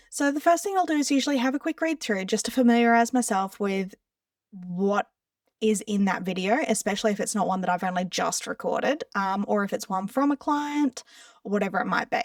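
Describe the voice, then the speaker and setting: With an Australian accent, a woman talks at a fairly quick pace in a dry, close sound with no echo. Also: fairly high pitch for a woman, lively intonation. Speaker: social media content creator. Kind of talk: tutorial. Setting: screen share recording. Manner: casual.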